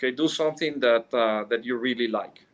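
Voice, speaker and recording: A man speaks with a Mexican accent. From Mexico City, Mexico. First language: Spanish. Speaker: business executive. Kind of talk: interview. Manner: halting, many fillers.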